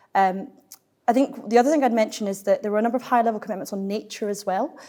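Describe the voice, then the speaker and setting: A woman speaks at a very fast pace in a Glaswegian accent. Her pitch is fairly high, with ordinary variation. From Scotland, Glasgow. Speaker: climate policy think tank finance lead. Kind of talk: panel discussion.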